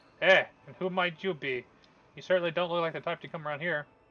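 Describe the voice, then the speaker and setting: A man in a gruff put-on character voice, high-pitched and very fast. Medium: game stream. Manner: gruff, suspicious.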